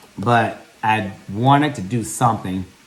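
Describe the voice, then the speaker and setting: Amid noticeable background noise and audible room echo, a man with a medium pitch speaks in an animated tone with ordinary pitch variation. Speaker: vlogger. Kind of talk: casual vlog monologue.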